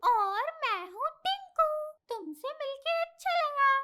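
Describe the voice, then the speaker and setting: This is a cartoonish character voice with an extremely high pitch. The pace is very slow. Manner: bright, eager.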